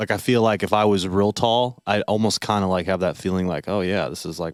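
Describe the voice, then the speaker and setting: A man with a very deep, low pitch talks at a fairly quick pace. The recording is very clean and dry, close, with a silent background and no echo. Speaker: podcast co-host. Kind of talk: casual chat. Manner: monotone; mumbling.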